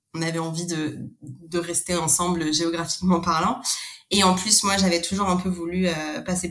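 The speaker is a woman with a fairly low pitch. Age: 30s. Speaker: expat interviewee. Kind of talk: interview. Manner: hesitant, many fillers.

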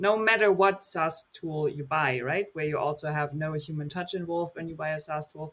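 Speaking at a fairly quick pace, a man with a German accent uses ordinary pitch variation. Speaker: podcast host. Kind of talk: interview.

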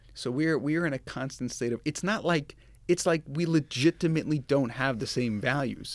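A man with an American accent speaks at a moderate pace in a fairly high voice. The recording is very clean, with a silent background. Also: ordinary pitch variation. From Long Island, New York. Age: 40s. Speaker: finance executive. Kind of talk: interview testimony.

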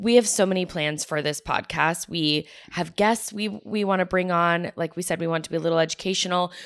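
Recorded very cleanly against a silent background, a woman with an American accent and an ordinary speaking voice talks at a fairly quick pace in a fairly low pitch, with hardly any pauses. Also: ordinary pitch variation. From Florida (Tampa). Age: 30s. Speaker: podcast co-host, mother. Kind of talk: casual chat. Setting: on a couch at a friend's house.

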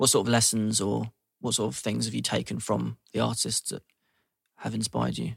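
In a London accent, a man speaks at a fairly quick pace. The sound is dry and close, with no echo. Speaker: podcast host. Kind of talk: interview.

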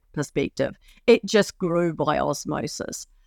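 The sound is dry and close with no echo, in a very clean recording with a silent background. The speech moves at a moderate pace. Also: woman. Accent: New Zealand. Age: 50s. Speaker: four-day week campaigner. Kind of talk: interview. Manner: halting.

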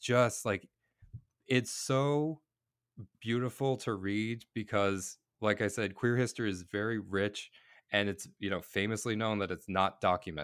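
A plain, everyday voice from a man, pitched fairly low, at a moderate pace with ordinary pitch variation. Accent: American. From Boston then Cape Breton, Nova Scotia. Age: 30s. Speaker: drag artist and comedian. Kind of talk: casual interview. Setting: video call.

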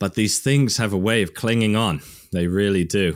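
With a West Midlands accent, a man speaks at a fairly slow pace and fairly low pitch on a very clean recording with a silent background. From England, Worcester. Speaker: science video creator. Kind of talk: casual chat.

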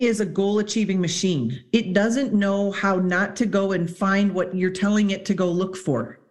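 A woman at a moderate pace, medium in pitch and somewhat breathy. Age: 40s. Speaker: psychologist and high performance mentor. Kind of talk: casual chat.

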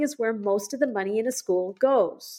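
The speaker uses lively intonation at a moderate pace in a very clean recording with a silent background. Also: woman. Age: 60s. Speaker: educator and school founder. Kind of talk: interview. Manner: halting.

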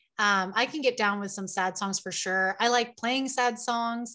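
A woman's fairly high, bright, sharp voice, fairly even in intonation, at a fairly slow pace. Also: quiet background. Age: 30s. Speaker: spiritual life coach and singer-songwriter. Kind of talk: interview conversation.

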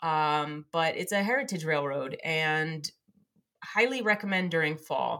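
In an American accent, a woman talks at a fairly slow pace with a very deep, low pitch and lively intonation. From New Jersey. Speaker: podcast co-host. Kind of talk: casual chat.

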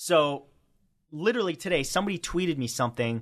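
This man has an unremarkable speaking voice, with ordinary pitch variation and a fairly quick pace. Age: 30s. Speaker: YouTuber and comedian. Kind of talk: casual interview chat.

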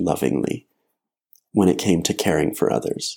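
With an American accent and vocal fry, a man speaks in a dark, mellow tone. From Colorado, Front Range. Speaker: therapeutic harp player. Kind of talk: interview conversation.

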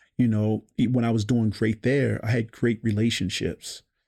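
On a very clean recording with a silent background, a man with an American accent speaks at a moderate pace in a medium pitch, his dark, mellow tone held to a flat monotone. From Baltimore, Maryland. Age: 40s. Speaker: realtor. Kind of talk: casual interview.

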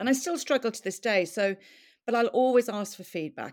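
On a very clean recording with a silent background, a woman with an Irish accent speaks at a fairly quick pace with lively intonation. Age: 50s. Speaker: podcaster and business consultant. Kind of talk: interview about life story.

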